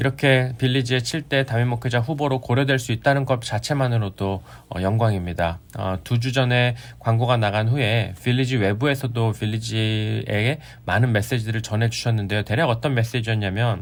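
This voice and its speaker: On a very clean recording with a silent background, a man with an unremarkable speaking voice talks at medium pitch and a moderate pace, using ordinary pitch variation. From Korea. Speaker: pastor. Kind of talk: sermon. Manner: formal.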